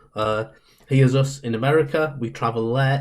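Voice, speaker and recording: A man with a Northeast English accent speaks at a moderate pace with ordinary pitch variation on a very clean recording with a silent background. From Northeast England. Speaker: comedian. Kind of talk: guest talk.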